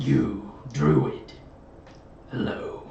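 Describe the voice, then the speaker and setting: A man growls in a put-on character voice, his pitch fairly low, with a slight echo around him. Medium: actual play.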